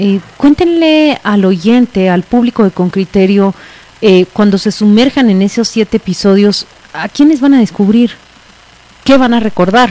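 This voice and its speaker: A woman speaks at a fairly slow pace in a dry, close sound with no echo, over noticeable background noise. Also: medium pitch for a woman, lively intonation. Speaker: radio host. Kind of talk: radio interview.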